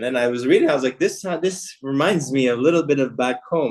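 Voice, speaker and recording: A man with an ordinary speaking voice, medium pitch, ordinary pitch variation and a fairly quick pace. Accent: American. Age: 30s. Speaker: business executive. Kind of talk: interview.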